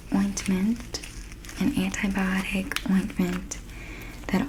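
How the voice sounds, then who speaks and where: A soft-spoken woman talks at a fairly slow pace in a gentle tone, at medium pitch with fairly even intonation. Noticeable background noise is present. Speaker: ASMR creator. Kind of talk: ASMR nurse roleplay, personal attention. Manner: soft-spoken, gentle.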